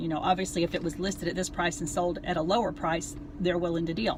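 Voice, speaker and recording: Very fast speech from a woman, fairly low-pitched with fairly even intonation, over noticeable background noise. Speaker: realtor. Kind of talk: casual advice vlog. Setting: in a car.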